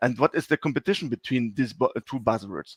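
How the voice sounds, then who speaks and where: Spoken with a German accent, the voice comes through a very clean recording with a silent background and a dry, close sound without echo. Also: man. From Germany. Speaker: sales executive. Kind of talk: presentation. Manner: halting, many fillers.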